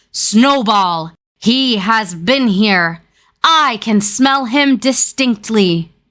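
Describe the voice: A woman talks at a very slow pace in a put-on character voice. Her pitch is fairly high, and the recording is very clean with a silent background.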